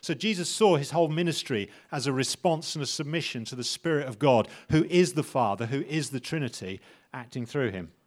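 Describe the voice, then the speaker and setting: A man's unremarkable speaking voice, fairly high-pitched, at a fairly quick pace with lively intonation. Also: very clean recording, silent background. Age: middle-aged. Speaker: preacher. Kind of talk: sermon.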